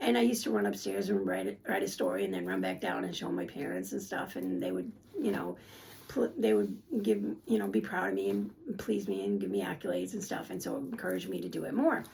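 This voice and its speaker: The speech comes at a very fast pace. Audible room echo and noticeable background noise surround it. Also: woman. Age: 60s. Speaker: spiritual channeler and psychic YouTuber. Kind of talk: casual spiritual talk to camera. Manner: casual, with many fillers.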